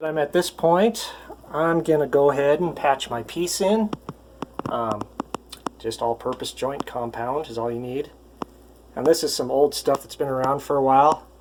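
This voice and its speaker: This man talks at a moderate pace with a fairly high pitch and ordinary pitch variation. Long, frequent pauses break up his speech, and noticeable background noise sits behind it. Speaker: handyman. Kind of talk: tutorial. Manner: casual with filler words; quiet, soft-spoken.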